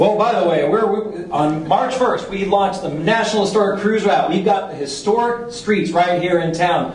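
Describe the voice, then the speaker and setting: A man talks at a moderate pace with ordinary pitch variation. Audible room echo and light background noise surround his voice. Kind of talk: public presentation. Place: hall. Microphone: podium.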